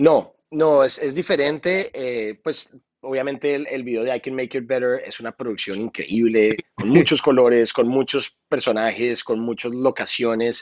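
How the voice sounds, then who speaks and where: A man with an ordinary speaking voice at medium pitch talks at a fairly slow pace, with ordinary pitch variation and hardly any pauses. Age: 30s. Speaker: music producer and singer. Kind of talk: interview.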